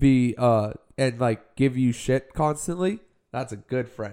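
At a fairly slow pace, a man with a normal speaking voice talks at a fairly high pitch with ordinary pitch variation. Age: 20s. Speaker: podcast host. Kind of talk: casual chat.

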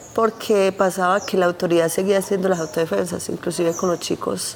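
A woman speaks at a moderate pace in a fairly low voice, with noticeable background noise behind her. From Colombia, Antioquia (San Carlos). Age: 40s. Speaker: conflict survivor. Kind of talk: testimony.

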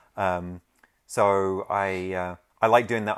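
A man speaks with a London accent, his pitch fairly low. The sound is dry and close with no echo, on a very clean recording with a silent background. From London, England. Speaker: original comic art rep. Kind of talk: casual chat.

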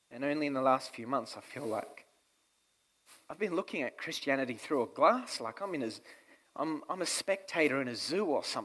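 An ordinary speaking voice from a man, fairly high in pitch, at a fairly quick pace with lively intonation. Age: 20s. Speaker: pastor. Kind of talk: sermon.

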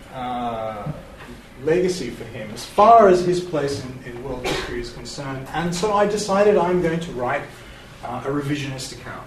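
Over noticeable background noise, a man with fairly high pitch and lively intonation talks at a moderate pace. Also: big swings in loudness. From Iran. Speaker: university lecturer and author. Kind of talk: academic lecture with Q&A.

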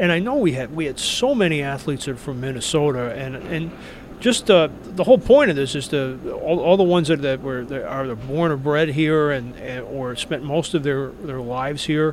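A man with an American accent speaks at a moderate pace and with ordinary pitch variation over noticeable background noise. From New York. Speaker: sports writer, author. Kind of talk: interview. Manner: halting, repeats words.

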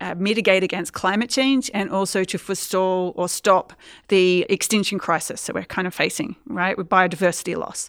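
A speaker with an Australian accent talks at a fairly quick pace with fairly even intonation. The recording is very clean, with a silent background. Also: woman. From Australia, Queensland. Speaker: environmental historian and lecturer. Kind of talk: interview.

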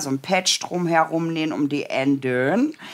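Talking at a moderate pace, the voice carries a slight Berlin accent. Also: woman. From Brandenburg, eastern Germany. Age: 40s. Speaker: sewing pattern designer. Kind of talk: casual chat; sewing tutorial. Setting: livestream.

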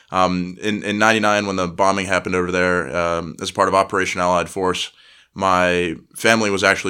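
Very deep and low yet bright and sharp in tone, a man talks fairly quickly with fairly even intonation on a very clean recording with a silent background. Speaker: naval academy midshipman. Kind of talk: interview.

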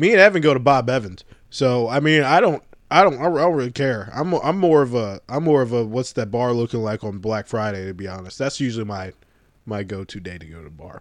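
An ordinary speaking voice from a man, medium in pitch, with lively intonation, a fairly quick pace and a quiet background. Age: 20s. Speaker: podcast co-host. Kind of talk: casual chat.

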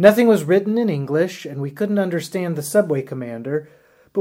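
This is an unforced reading voice. The text is read out loud.

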